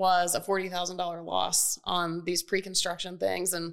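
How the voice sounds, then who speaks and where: A woman with an American accent and a plain, everyday voice, fairly low in pitch, at a moderate pace with fairly even intonation. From US South, Atlanta. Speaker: real estate investor. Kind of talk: casual chat. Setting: studio.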